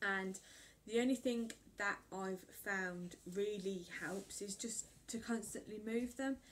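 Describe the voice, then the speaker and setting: A woman speaks with an English accent at a medium pitch. Her pace is very slow and her intonation fairly even. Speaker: vlogger. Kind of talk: casual chat. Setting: at home. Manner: rambling with fillers.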